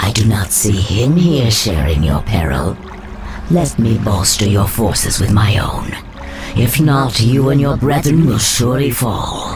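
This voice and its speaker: Over loud background noise, a man does a put-on character voice. His pitch is medium. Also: moderate pace. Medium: machinima. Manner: smooth, persuasive.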